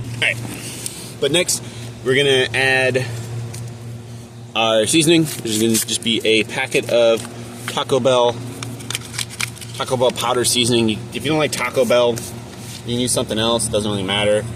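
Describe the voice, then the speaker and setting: Long, frequent pauses break up the speech. The intonation is fairly even, and there is noticeable background noise. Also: man, medium pitch for a man. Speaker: home cooking vlogger. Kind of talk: casual cooking tutorial. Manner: fast; casual, joking.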